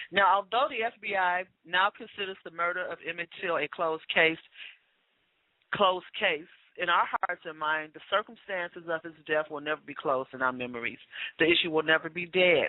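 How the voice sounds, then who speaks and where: In a normal speaking voice, a woman talks at a moderate pace in a fairly low pitch, with ordinary pitch variation and big swings in loudness. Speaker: radio talk show co-host. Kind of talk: radio show monologue. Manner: formal.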